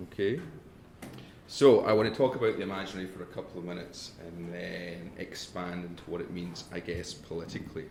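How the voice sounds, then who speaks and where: A man's very deep, low pitch at a fairly quick pace, with ordinary pitch variation, big swings in loudness and audible room echo. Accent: northern English. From northern England. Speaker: academic. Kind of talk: lecture.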